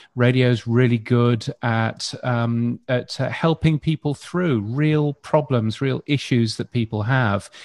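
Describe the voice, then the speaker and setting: On a quiet background with a dry, close sound and no echo, a man with an English accent and a medium pitch speaks at a very slow pace with ordinary pitch variation. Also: hardly any pauses. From UK. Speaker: radio futurologist. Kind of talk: panel discussion.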